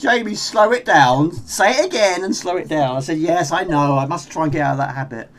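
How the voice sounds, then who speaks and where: Lively intonation marks a man's fairly high voice as he talks at a fairly quick pace with hardly any pauses. Noticeable background noise is present. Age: 40s. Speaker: gaming live streamer. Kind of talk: live gameplay commentary. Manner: fast.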